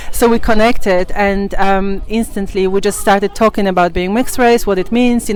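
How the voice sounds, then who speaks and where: Against noticeable background noise, a woman with a fairly high pitch talks at a fairly quick pace. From Poland. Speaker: YouTuber interviewer. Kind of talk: casual interview chat.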